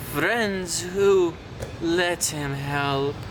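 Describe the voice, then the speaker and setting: This is a put-on character voice at a middle pitch. Loud background noise runs underneath. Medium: read story.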